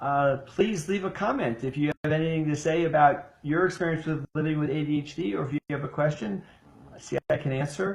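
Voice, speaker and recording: With an American accent, a man talks at a fairly quick pace in a fairly high pitch, somewhat breathy, with ordinary pitch variation. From US Midwest (Ohio). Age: 70s. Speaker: ADHD coach. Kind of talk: casual live-stream chat. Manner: hesitant, many fillers.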